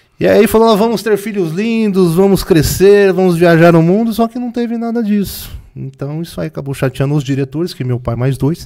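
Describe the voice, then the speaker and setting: A high-pitched man at a fairly quick pace with lively intonation, against noticeable background noise. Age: 40s. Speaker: retro game collector and seller. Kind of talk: casual interview chat. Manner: calm.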